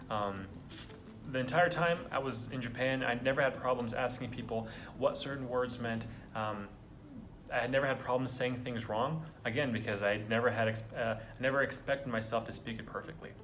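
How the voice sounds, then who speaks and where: Audible room echo surrounds a man with an American accent who speaks fairly quickly at a medium pitch, with fairly even intonation. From United States. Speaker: vlogger. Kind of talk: casual monologue. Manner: halting.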